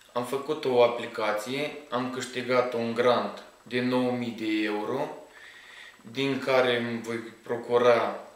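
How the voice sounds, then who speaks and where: Heard through audible room echo and noticeable background noise, a man talks at a medium pitch. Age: 20s. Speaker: rabbit farmer, small business owner. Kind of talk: interview.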